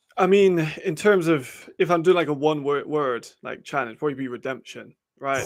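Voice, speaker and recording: This man has an English accent and a fairly high pitch. He talks at a fairly quick pace. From United Kingdom. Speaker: football scout and analyst. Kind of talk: live show casual chat.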